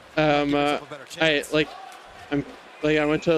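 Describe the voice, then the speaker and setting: A fairly high-pitched man with a Canadian accent at a moderate pace, with music in the background. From Canada. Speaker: streamer. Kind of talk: casual chat.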